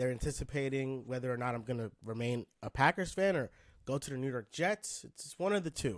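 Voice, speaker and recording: With a plain, everyday voice at medium pitch, a man talks fairly quickly with lively intonation in a dry, close sound with no echo. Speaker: podcast host, basketball fan. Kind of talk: casual podcast conversation about basketball.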